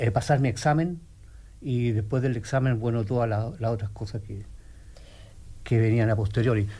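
Speaking in a Chilean accent, a man keeps a moderate pace with ordinary pitch variation. His voice is somewhat breathy. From Chile, Santiago. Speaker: physical therapist. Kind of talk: radio interview. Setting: radio studio. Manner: halting, repeats words.

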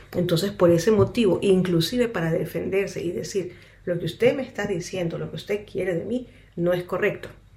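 The voice is dark and mellow in tone and somewhat breathy, moving at a fairly quick pace with ordinary pitch variation. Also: woman, medium pitch for a woman. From Ecuador, Quito. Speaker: interpreter and counselor. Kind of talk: radio interview.

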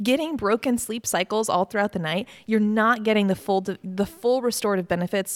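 A woman's ordinary speaking voice with an American accent, medium pitch, ordinary pitch variation and moderate pace, dry and close with no echo, on a very clean recording with a silent background. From Virginia, Mechanicsville. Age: 30s. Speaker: pediatric sleep consultant. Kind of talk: interview.

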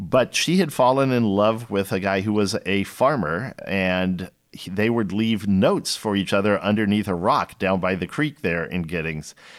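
On a very clean recording with a silent background, a man in an unremarkable speaking voice talks at a moderate pace with hardly any pauses, a fairly low pitch and ordinary pitch variation. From Texas, Austin. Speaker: winemaker. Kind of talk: interview conversation.

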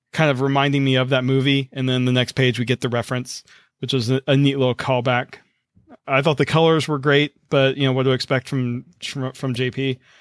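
At a moderate pace, a man with an American accent speaks in a monotone, flat intonation. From US South. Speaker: podcast host. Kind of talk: reading aloud; casual chat. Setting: video call.

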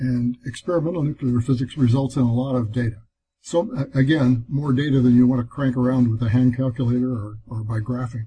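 A man speaks at a medium pitch with a dark, mellow, somewhat breathy tone. His pace is fairly quick and his intonation fairly even. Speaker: Apple II hardware designer guest. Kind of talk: casual interview.

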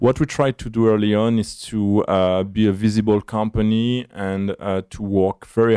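This man talks in a fairly low pitch with monotone, flat intonation. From France. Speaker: startup CEO. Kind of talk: interview. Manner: hesitant, filler words.

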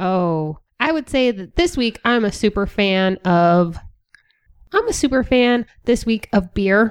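Recorded with a dry, close sound and no echo, a woman with a normal speaking voice talks at a fairly high pitch with lively intonation. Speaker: guest game player. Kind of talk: casual game-night chat as a contestant.

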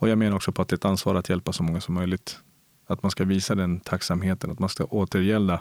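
A man with a Spanish accent, very deep and low in pitch, at a very fast pace, in a dry, close sound with no echo. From Colombia, moved to Sweden at nine. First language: Spanish (speaking Swedish). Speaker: police officer. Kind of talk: interview. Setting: recorded at a cultural centre. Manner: animated.

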